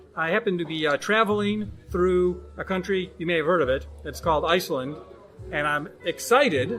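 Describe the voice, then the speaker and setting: A man's fairly high voice at a moderate pace, with lively intonation and noticeable background noise. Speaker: podcast host and stand-up comedian. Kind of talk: casual chat. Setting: recording in a pub. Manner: occasional stutter.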